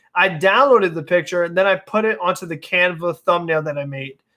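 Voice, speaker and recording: A man's raised, projected voice is high-pitched and bright, sharp in tone, with ordinary pitch variation. The very clean recording has a silent background. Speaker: sports YouTuber. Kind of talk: live stream chat, answering viewer comments. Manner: casual, many filler words and restarts.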